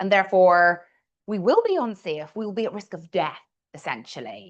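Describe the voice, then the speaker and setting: A woman speaks at a medium pitch. She has a Northern Irish accent. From Northern Ireland. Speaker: communication coach. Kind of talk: coaching workshop. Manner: deliberately slowed pace.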